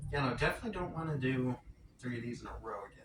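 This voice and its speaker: Noticeable background noise fills the recording. Through it, a man's voice comes across. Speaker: vlogger. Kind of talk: casual vlog monologue. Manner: quiet; rambling, self-correcting.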